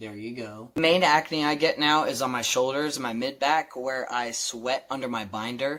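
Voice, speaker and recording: An ordinary speaking voice belongs to a man at a medium pitch, with ordinary pitch variation. He keeps a moderate pace with hardly any pauses. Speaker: vlogger. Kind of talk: personal video update. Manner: casual.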